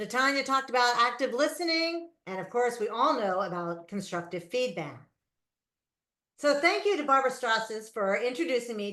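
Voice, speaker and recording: Lively intonation and a bright, sharp tone mark this voice with an American accent. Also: woman. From New Jersey. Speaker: public speaking club leader. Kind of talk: motivational speech. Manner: fast.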